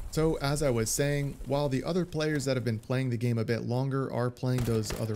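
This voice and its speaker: Noticeable background noise sits behind a man talking at a fairly quick pace. His pitch is medium and his intonation fairly even. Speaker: gaming YouTuber. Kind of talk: gameplay commentary voice-over. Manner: trying to sound less monotonous.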